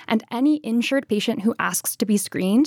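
An ordinary speaking voice from a woman, fairly high in pitch with ordinary pitch variation and a fairly quick pace. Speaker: policy analyst. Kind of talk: radio interview. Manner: many filler ums.

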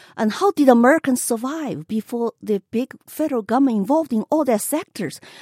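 A woman with a Chinese accent speaks at a fairly quick pace with hardly any pauses, her high-pitched voice dark and mellow in tone, her intonation lively, and the sound dry and close with no echo. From China. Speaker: political candidate. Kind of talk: radio interview.

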